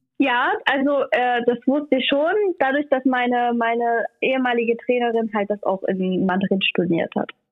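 Moderate speed and ordinary variation in pitch from a woman with a high voice. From Saxony, Germany (Leipzig). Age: 20s. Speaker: Roma community youth worker. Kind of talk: interview.

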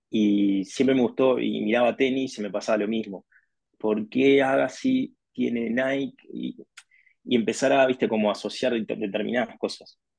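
The speaker talks in a Uruguayan accent at a moderate pace with ordinary pitch variation. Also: man, medium pitch for a man. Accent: Rioplatense Spanish (Uruguayan). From Uruguay, Montevideo. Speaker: sports marketing executive. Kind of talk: interview conversation.

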